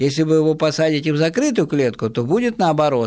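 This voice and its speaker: Over a very clean recording with a silent background, a man with a dark, mellow tone and fairly high pitch talks at a very fast pace. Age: 60s. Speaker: ornithologist running wildlife rescue. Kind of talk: radio interview.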